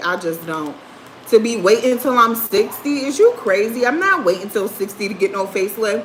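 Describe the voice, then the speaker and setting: A woman speaks fairly quickly, and noticeable background noise can be heard. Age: 30s. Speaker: livestreamer. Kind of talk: casual chat. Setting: livestream.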